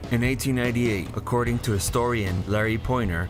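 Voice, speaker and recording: Music plays in the background. A man talks at a fairly quick pace with fairly even intonation. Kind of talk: documentary narration.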